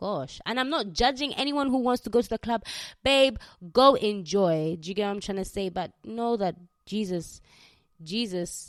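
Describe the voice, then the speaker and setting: A woman with a Ugandan accent speaks at a moderate pace in a medium pitch, her intonation lively, on a very clean recording with a silent background. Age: 20s. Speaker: podcast host. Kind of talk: casual solo podcast monologue, testimony. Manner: casual, chatty.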